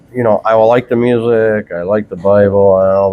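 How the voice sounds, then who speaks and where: This man has an ordinary speaking voice, pitched fairly low. His intonation stays fairly even. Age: 60s. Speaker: churchgoer interviewed in outreach conversation. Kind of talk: casual chat. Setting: coffee shop.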